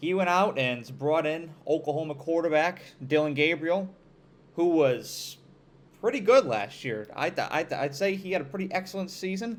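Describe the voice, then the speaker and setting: At a moderate pace, a man with an upstate New York accent talks in a high pitch with an animated tone and lively intonation. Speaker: college football commentator. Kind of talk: sports analysis monologue.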